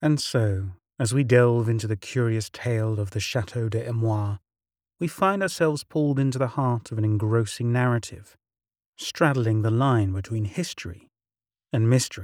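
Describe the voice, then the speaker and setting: A man speaks in a plain, everyday voice at a medium pitch and a moderate pace, with ordinary pitch variation, in a very clean recording with a silent background. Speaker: narrator of mystery stories. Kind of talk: dramatic scripted narration of a spooky tale. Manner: theatrical, ominous, measured storytelling delivery; formal, ornate phrasing.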